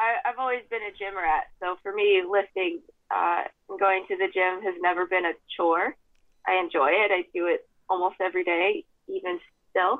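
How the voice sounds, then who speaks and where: In a normal speaking voice, a woman talks at a moderate pace and a medium pitch. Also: ordinary pitch variation. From US West, Idaho. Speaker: former pro mountain biker and toxicologist. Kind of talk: casual interview.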